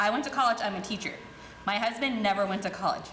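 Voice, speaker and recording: A woman speaks at medium pitch. Audible room echo and noticeable background noise surround her voice. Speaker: teacher and parent commenting at board meeting. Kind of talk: public comment speech. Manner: fast.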